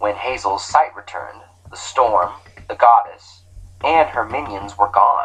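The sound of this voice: The reader uses an unforced reading voice with lively intonation.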